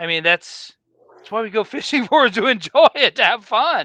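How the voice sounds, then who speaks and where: A man with an American accent talks at a moderate pace in an extremely high pitch, his raised, projected voice bright and sharp. His pitch swings very widely, and the background is quiet. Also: dry, close sound with no echo. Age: 40s. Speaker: sportfishing boat owner and captain. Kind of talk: casual interview. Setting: video call from a boat galley.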